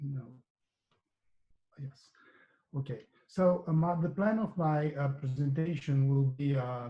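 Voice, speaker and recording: Speaking very slowly with long, frequent pauses, a man's somewhat breathy voice sits at a fairly high pitch, dark and mellow in tone, with ordinary pitch variation. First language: French (speaking Portuguese). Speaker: economics professor. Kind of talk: academic seminar presentation. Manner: halting, many fillers.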